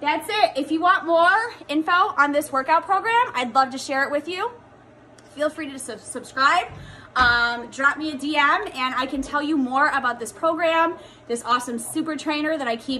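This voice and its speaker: Over light background noise, a woman uses a raised, projected voice at a moderate pace with ordinary pitch variation. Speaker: fitness coach. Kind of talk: casual vlog chat. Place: home room. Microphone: phone near.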